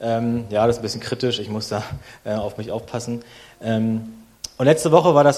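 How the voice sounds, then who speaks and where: At a fairly quick pace, an unremarkable speaking voice holds fairly even intonation. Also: man. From Berlin, Germany. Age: 30s. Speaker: guest preacher. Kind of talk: sermon.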